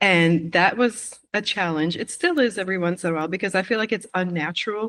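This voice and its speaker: This is a woman with a plain, everyday voice and a medium pitch. She speaks at a fairly quick pace with ordinary pitch variation. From Quebec, Canada. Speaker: missionary. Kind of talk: interview conversation.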